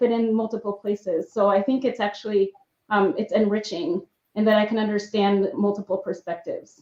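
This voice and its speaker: Talking at a fairly quick pace, a woman with an American accent uses a fairly high pitch and ordinary pitch variation. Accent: slight accent in both English and Spanish. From Mexico, bilingual household with US father. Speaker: evaluator, employee resource group member. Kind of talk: panel discussion. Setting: live stream panel.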